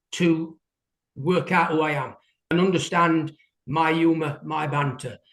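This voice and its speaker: A man with an English accent, high-pitched and at a fairly slow pace. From England. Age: 60s. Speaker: window cleaner. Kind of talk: interview. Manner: halting.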